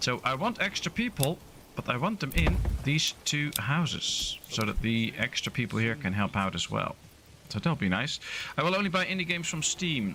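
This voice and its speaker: A man with a Dutch accent at a moderate pace, his pitch swinging very widely. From Netherlands. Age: 30s. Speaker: gaming streamer. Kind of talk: live gameplay stream chat. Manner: casual, hesitant with fillers.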